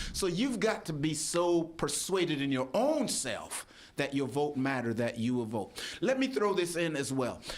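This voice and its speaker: Amid audible room echo, a man with a fairly high voice makes very wide pitch swings. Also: moderate pace. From Jamaica. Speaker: pastor and election official. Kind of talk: radio interview. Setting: radio studio.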